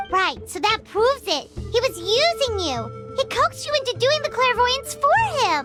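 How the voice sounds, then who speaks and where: Loud music plays in the background beneath a put-on character voice. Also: moderate pace. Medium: video game.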